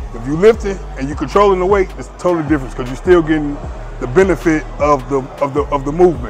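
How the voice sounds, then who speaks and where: Over clear background music, a man talks very fast with ordinary pitch variation in a dry sound with no echo. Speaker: fitness creator. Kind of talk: casual vlog chat. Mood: confident, dismissive of critics. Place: gym. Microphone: lapel.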